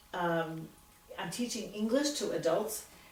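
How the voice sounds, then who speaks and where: Lively intonation at a fairly slow pace, with audible room echo and noticeable background noise. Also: woman. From Philadelphia, Pennsylvania. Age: 70s. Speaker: retired teacher. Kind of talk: oral history interview. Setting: at her home.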